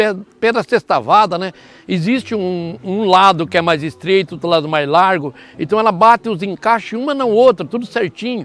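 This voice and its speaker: A man's high-pitched voice moves at a moderate pace, its intonation lively. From Brazil, northern Paraná. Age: 70s. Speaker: farm owner. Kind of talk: interview. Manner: halting.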